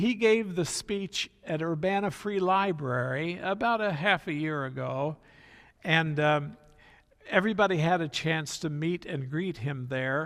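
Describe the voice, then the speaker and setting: Speaking at a fairly slow pace with an American accent, a man uses a fairly high pitch and ordinary pitch variation. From central Illinois, US Midwest (Hoopeston area). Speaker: seminar speaker. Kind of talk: illustrated talk with slides. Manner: halting, many fillers.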